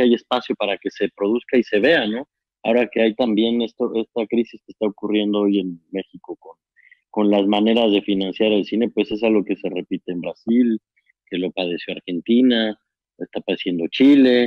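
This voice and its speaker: A man speaks with a fairly low pitch at a moderate pace. His intonation stays fairly even. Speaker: documentary filmmaker, interviewer. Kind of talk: casual chat.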